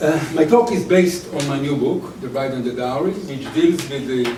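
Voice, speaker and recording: A man with a non-native accent and a fairly high pitch at a fairly slow pace, with noticeable background noise and audible room echo. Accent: foreign. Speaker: historian, academic speaker. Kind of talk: lecture read from paper.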